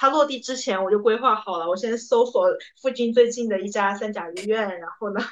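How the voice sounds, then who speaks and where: In an ordinary speaking voice, a woman talks at a fairly quick pace with a fairly high pitch, ordinary pitch variation and big swings in loudness. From Hunan, China. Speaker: podcast co-host, consultant. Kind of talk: casual chat.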